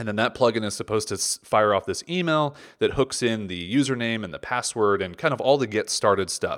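A man with an ordinary speaking voice talks fairly quickly with hardly any pauses, at a medium pitch and with ordinary pitch variation. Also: very clean recording, silent background. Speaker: podcast host and product creator. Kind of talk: solo podcast monologue.

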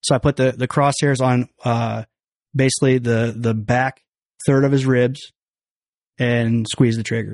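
A man's medium-pitched voice with a Midwestern American accent, flat monotone delivery, a fairly slow pace and long, frequent pauses, in a dry, close sound with no echo against a quiet background. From western Illinois, small town. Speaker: hunter. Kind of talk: casual chat. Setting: studio.

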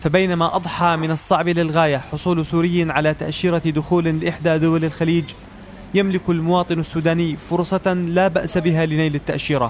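Over noticeable background noise, a man speaks at a moderate pace in a high pitch, with monotone, flat intonation and very even loudness. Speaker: radio reporter. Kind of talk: scripted narration.

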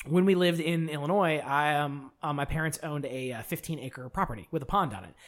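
A man with a normal speaking voice talks at a fairly quick pace with hardly any pauses, his pitch fairly high with ordinary variation. His loudness swings widely. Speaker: podcast co-host. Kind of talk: casual chat.

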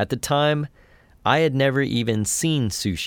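Spoken at a moderate pace with lively intonation, this is an ordinary speaking voice. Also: man, very clean recording, silent background. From West Texas (Andrews). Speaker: podcast narrator and reporter. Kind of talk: scripted narration.

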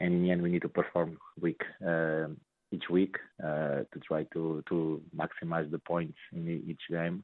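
This man's voice has a very deep, low pitch and a monotone, flat intonation. He talks at a fairly slow pace. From Portugal. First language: Portuguese. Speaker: football player. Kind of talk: radio interview. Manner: halting.

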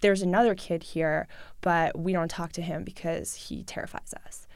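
A woman's fairly low voice in a New York accent, monotone and flat, on a very clean recording with a silent background. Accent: New York American English. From New York City, Russian-speaking family. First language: Russian. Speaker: journalist. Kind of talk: interview.

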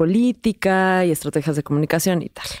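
A woman speaks at a medium pitch with lively intonation and a dark, mellow tone. The sound is dry and close with no echo, on a very clean recording with a silent background. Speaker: podcast co-host, sociologist. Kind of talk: casual chat.

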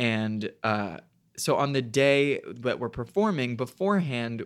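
A man with an ordinary speaking voice and medium pitch talks at a fairly slow pace on a very clean recording with a silent background. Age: 20s. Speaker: Broadway actor and podcast co-host. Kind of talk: casual chat.

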